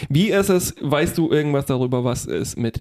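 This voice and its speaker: Fairly slow speech over music in the background. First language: Polish (speaking German). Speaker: podcast co-host. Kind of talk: casual chat.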